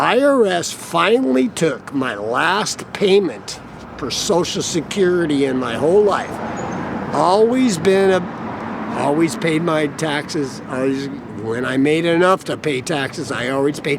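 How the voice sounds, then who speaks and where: With an American accent, a man with a fairly high pitch talks at a fairly slow pace. His intonation is lively, and there is noticeable background noise. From US Mountain West (Idaho). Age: 60s. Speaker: homeless carpenter. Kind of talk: interview.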